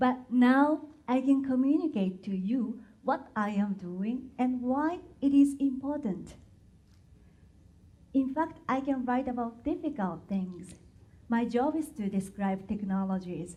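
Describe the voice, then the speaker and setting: In a room with audible echo, a woman with a high-pitched, dark, mellow voice speaks at a fairly slow pace with lively intonation and long, frequent pauses. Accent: Japanese. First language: Japanese. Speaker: patent translator and technical writer. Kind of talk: conference talk.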